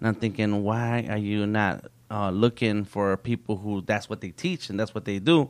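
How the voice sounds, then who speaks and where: An unremarkable speaking voice moves at a moderate pace with hardly any pauses and ordinary pitch variation. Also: man, fairly low pitch for a man. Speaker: nonprofit founder for artists. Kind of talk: interview conversation.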